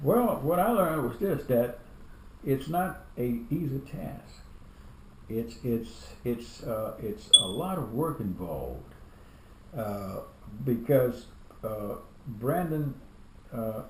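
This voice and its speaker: A man speaks at a very slow pace with lively intonation and long, frequent pauses. Audible room echo surrounds his voice. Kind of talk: family interview. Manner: halting, many repetitions.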